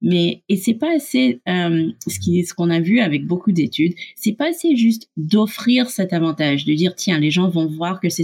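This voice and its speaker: A woman's somewhat breathy, medium-pitched voice with a slight North American accent, lively intonation and a fairly slow pace. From Canada and the USA. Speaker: startup co-founder. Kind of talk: interview. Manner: halting, with repetitions.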